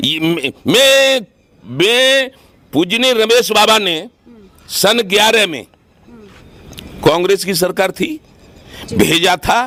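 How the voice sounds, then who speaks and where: A man's intonation is lively, with noticeable background noise around him. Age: 70s. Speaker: farmer union leader. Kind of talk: interview. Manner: animated.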